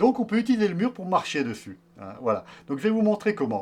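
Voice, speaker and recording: This man's voice sits high in pitch and moves at a fairly quick pace. It swings very widely up and down. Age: 60s. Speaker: yoga teacher. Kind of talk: tutorial. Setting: outdoors. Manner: hesitant, many fillers.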